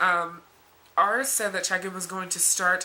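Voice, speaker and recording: Noticeable background noise sits under this woman's voice. She speaks at a medium pitch and a fairly slow pace. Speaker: vlogger. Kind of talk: casual vlog talk. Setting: sitting on her bed. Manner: halting with many fillers.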